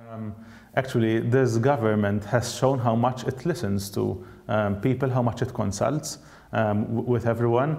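Speaking in a dark, mellow tone, a man keeps a fairly slow pace and fairly even intonation. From Malta. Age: 30s. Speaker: politician. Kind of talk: political interview. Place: studio. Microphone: lapel.

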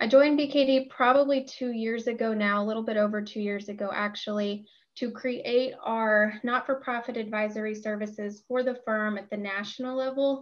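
At a moderate pace with hardly any pauses, the voice keeps a fairly even intonation over a quiet background. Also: woman. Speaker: panelist. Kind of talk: panel self-introduction. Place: home room. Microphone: video call.

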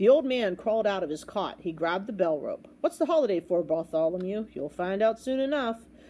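An unforced reading voice carries through the clip.

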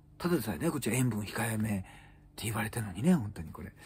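With a dark, mellow, somewhat breathy tone, a man speaks at a very fast pace with lively intonation. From Japan. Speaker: comedian; comedian news commentator. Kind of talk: solo news commentary chat. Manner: casual, filler-heavy. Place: home room. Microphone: phone near.

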